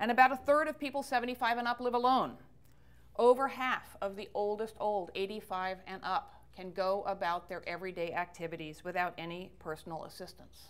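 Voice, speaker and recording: Here is a woman with a normal speaking voice. She talks at a fairly quick pace with fairly high pitch. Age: 60s. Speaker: author and speaker on ageism. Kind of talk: public talk.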